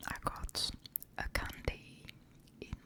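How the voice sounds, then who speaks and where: A whispered voice comes through over noticeable background noise. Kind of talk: ASMR soft-spoken talk. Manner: soft-spoken, whispered, slow.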